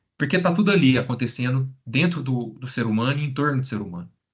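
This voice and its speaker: A man speaks at a fairly quick pace in a medium-pitched voice. His delivery is somewhat breathy. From Brazil, interior of Minas Gerais (Triângulo Mineiro). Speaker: psychologist. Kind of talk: lecture. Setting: live stream.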